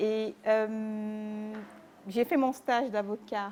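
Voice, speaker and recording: A woman talks at a fairly high pitch. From Cameroon (Mbalmayo, Yaoundé). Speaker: lawyer, publisher and author. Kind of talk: interview.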